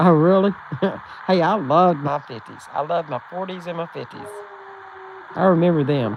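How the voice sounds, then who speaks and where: A woman with a Texan accent, fairly low in pitch with ordinary pitch variation, at a moderate pace with long, frequent pauses and big swings in loudness, over noticeable background noise. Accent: Texan Southern US. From Texas, rural central. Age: 70s. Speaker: livestream host. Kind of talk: casual chat with live chat readers.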